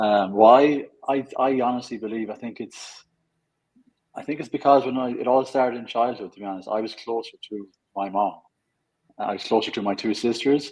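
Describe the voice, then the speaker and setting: A man with an Irish accent talks at a moderate pace and a medium pitch. His intonation stays fairly even. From Ireland. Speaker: fitness coach. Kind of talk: interview.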